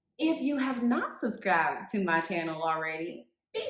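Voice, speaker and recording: At a moderate pace, a woman speaks at medium pitch. Room echo is audible. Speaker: real estate agent. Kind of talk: casual vlog. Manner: halting.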